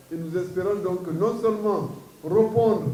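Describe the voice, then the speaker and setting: With noticeable background noise and audible room echo, a man speaks at a fairly slow pace in a high pitch with ordinary pitch variation. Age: 70s. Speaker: party leader. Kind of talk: press statement. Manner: halting.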